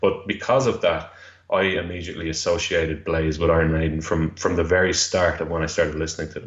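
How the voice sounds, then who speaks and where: A man with a Dublin accent at a very fast pace. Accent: Dublin Irish. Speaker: music fan guest. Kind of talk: interview. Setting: phone call.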